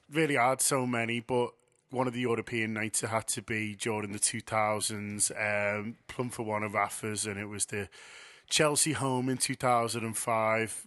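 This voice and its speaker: Over a quiet background, a man with a Liverpool accent speaks at a moderate pace in a medium pitch with a bright, sharp tone. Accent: Liverpool (Scouse). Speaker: football fan contributor. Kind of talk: personal anecdote.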